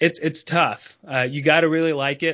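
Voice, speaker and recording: In an unremarkable speaking voice, a man talks at a fairly quick pace with fairly even intonation. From North Carolina, US. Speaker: financial planner. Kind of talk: interview.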